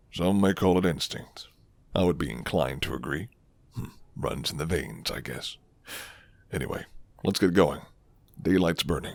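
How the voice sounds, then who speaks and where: In a put-on character voice, a man speaks at a moderate pace with a very deep, low pitch and long, frequent pauses. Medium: solo performance. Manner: low, flirty, unhurried.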